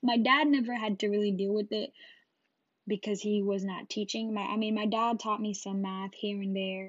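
A woman speaks at a medium pitch and moderate pace. Her voice is somewhat breathy, with fairly even intonation. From Jamaica, Westmoreland parish. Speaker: podcast host. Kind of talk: casual monologue. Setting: solo podcast recording.

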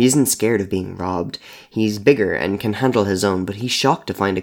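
Natural-voiced reading aloud, pitch moving in a typical way

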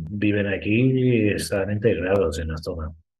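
Audible room echo surrounds a man's fairly low voice. He sounds somewhat breathy. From Ireland. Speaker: festival sustainability manager. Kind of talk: interview.

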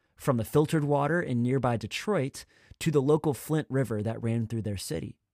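A man has an unremarkable speaking voice at a medium pitch, with lively intonation, a moderate pace and a very clean recording with a silent background. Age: 20s. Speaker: youth pastor. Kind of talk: sermon.

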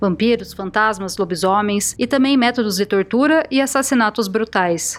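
Using an ordinary speaking voice, a woman with a fairly high pitch talks at a moderate pace with lively intonation. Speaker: podcast host and narrator. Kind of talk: scripted storytelling narration.

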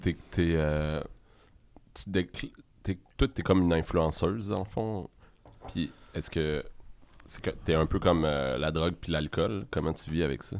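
A man speaks at a fairly slow pace in a very deep, low voice with ordinary pitch variation. Long pauses come often. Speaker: podcast co-host. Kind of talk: casual chat.

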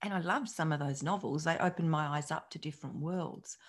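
A woman talks at a moderate pace. Her voice is somewhat breathy, with ordinary pitch variation. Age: 50s. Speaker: psychologist and podcast host. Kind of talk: solo podcast monologue.

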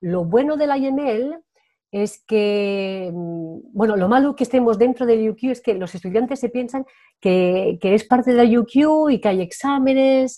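A woman with a Spanish accent, fairly high in pitch, dark and mellow in tone, with lively intonation. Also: fairly slow pace. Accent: Spanish (Spain). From Spain. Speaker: Spanish teacher. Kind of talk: interview.

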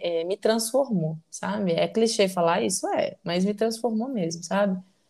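The recording of this woman is very clean, with a silent background. She speaks fairly slowly at a medium pitch with ordinary pitch variation. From Brazil, Belo Horizonte (Minas Gerais). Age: 20s. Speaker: psychologist, podcast co-host. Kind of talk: casual chat.

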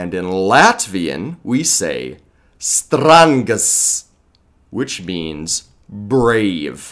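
In an American accent, a man speaks very slowly at a fairly low pitch with very wide pitch swings, on a very clean recording with a silent background. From Colorado, US. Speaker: English teacher. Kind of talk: lecture.

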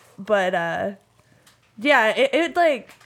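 With an American accent, a woman talks in a normal speaking voice at a fairly high pitch, her intonation lively. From Nevada, Sun Valley. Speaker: bartender and barback. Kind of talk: casual chat.

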